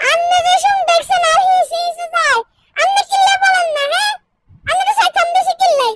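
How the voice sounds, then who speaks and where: A squeaky, extremely high-pitched cartoonish character voice. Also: moderate pace. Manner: deferential to the tiger.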